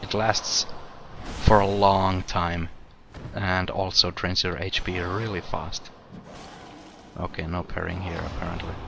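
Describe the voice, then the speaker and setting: A man with a very deep, low pitch speaks at a fairly slow pace in a monotone, flat delivery. Long, frequent pauses and noticeable background noise fill the clip. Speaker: gaming video creator. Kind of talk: let's play commentary. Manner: casual, conversational; quiet.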